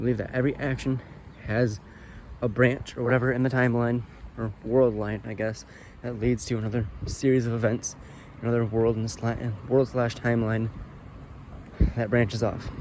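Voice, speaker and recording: A man at a medium pitch speaks at a moderate pace in a monotone, flat way, with long, frequent pauses. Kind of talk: casual talk to camera while walking. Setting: outdoors. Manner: hesitant, stuttering.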